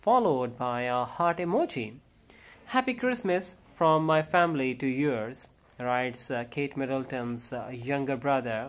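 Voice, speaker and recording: The speaker uses ordinary pitch variation and a fairly slow pace. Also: man. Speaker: news vlogger. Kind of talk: celebrity news commentary. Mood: calm, even. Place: home room. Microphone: phone near.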